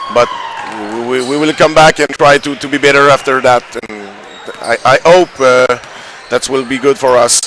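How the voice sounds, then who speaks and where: Someone with a Quebec accent speaks at a moderate pace with fairly even intonation and long, frequent pauses. Noticeable background noise runs underneath. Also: man, medium pitch for a man. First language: French. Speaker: youth basketball team manager. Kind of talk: post-game interview. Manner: halting.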